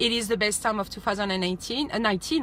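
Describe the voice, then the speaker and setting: A woman's voice at medium pitch. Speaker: astrologer. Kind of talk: casual vlog forecast. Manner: fast; hesitant, many fillers.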